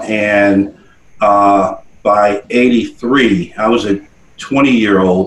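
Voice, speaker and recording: A man with an American accent, fairly low in pitch, in monotone, flat intonation. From New Jersey (Paterson). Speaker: nonprofit leader and military veteran. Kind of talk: interview. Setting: studio.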